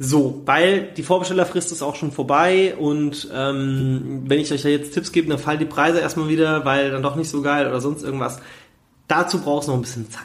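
A man talks at a moderate pace, his pitch fairly high. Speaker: podcast host on trading card investing. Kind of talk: casual solo podcast talk. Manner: energetic.

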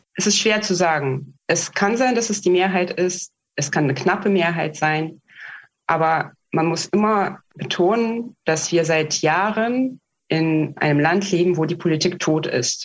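Ordinary pitch variation, a Russian accent, very even loudness and a fairly slow pace. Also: woman, fairly low pitch for a woman. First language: Russian (speaking German). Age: 30s. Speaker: activist and project manager. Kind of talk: interview. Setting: video call. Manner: hesitant with many fillers.

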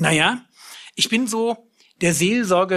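A man's raised, projected voice, with a dry, close sound with no echo and a quiet background. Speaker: preacher. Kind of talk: sermon, direct address to listeners, teaching. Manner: earnest and lively, plain-spoken, emphatic; blunt, self-deprecating, with a sense of humor.

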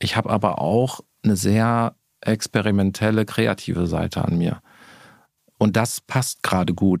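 Dry and close with no echo, the speech moves at a fairly slow pace with long, frequent pauses and fairly even intonation. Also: man, fairly low pitch for a man. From Ruhr area, Bochum. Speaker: marketing executive. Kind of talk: interview.

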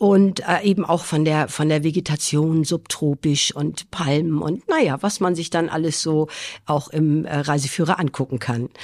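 On a very clean recording with a silent background, a woman speaks at a moderate pace with a very deep, low pitch and ordinary pitch variation. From Schleswig-Holstein, northern Germany. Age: 50s. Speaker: nurse. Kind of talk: interview.

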